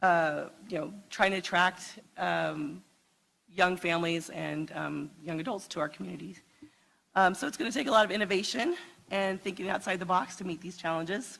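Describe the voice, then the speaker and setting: Vocal fry runs through a woman's medium-pitched voice. She speaks at a moderate pace with ordinary pitch variation. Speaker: panel moderator. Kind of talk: panel discussion moderation. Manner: halting, many fillers.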